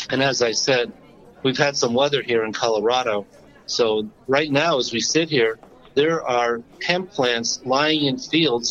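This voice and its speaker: A man speaks at a fairly slow pace, with a medium pitch. He has a normal speaking voice and ordinary pitch variation. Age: 60s. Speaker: podcast host and accountant. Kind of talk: casual chat. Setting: phone call.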